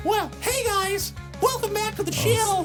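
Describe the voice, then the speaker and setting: A put-on character voice delivers the lines at a moderate pace. Loud music plays in the background. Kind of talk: YouTuber greeting. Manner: youthful.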